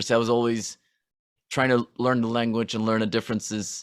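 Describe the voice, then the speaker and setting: Speaking at medium pitch, a man talks with a Norwegian accent. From Norway. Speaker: rock musician. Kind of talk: podcast interview. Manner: halting.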